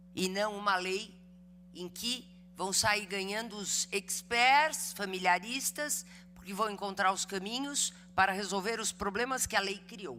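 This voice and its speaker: A woman speaks at a fairly slow pace with medium pitch and ordinary pitch variation. Music plays in the background. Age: 60s. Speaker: law professor and lawyer. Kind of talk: lecture.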